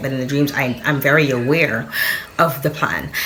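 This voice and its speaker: A woman's very deep, low voice amid noticeable background noise and audible room echo. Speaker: spiritual content creator. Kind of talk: casual monologue. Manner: fast; animated.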